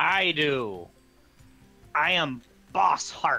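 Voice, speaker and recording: A man puts on a character voice with a fairly high pitch. Faint music plays in the background. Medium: actual play.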